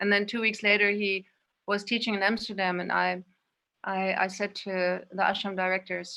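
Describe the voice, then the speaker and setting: In a German accent, the speaker delivers lines at a moderate pace with monotone, flat intonation. The tone is bright and sharp, and the recording is very clean with a silent background. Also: woman, medium pitch for a woman. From Indonesia and Spain. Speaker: guest, yoga practitioner. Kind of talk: personal recollection.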